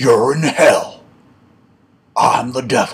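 The speaker puts on a character voice pitched low-to-middle. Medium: solo performance. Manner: courteous, proud.

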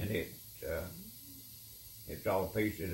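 A man speaks with an Appalachian accent. Light background noise and audible room echo are present. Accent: Appalachian Southern US. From Tennessee. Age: 80s+. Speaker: retired guitar player. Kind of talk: reminiscing conversation. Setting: at home. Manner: halting. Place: home room. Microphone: camera far.

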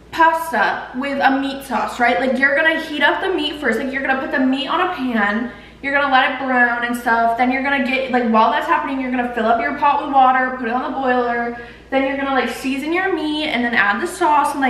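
Speaking at a fairly quick pace, a woman with a high pitch and ordinary pitch variation is heard with audible room echo. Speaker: home cook vlogger. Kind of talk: casual vlog chat. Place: kitchen.

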